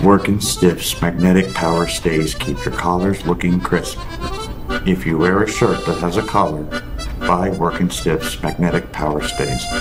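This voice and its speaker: A man with a very deep, low pitch, clear music playing behind him. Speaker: voice actor. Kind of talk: product commercial read. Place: home room.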